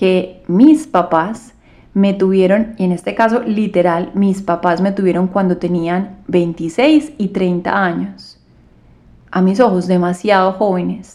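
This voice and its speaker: Her tone is dark and mellow. The woman speaks at a very slow pace. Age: 30s. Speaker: yoga and meditation teacher, podcast host. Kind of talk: solo podcast monologue. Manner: calm.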